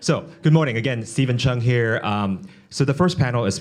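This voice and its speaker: With audible room echo around him, a man talks at a very fast pace with lively intonation. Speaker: economic development executive, panel moderator. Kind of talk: panel moderation at a business forum. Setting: conference stage with audience.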